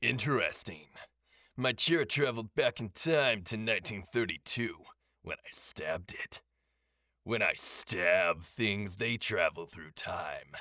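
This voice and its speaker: In a put-on character voice, a man speaks at a fairly slow pace and medium pitch with lively intonation, on a very clean recording with a silent background. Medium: read story. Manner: terse, deadpan.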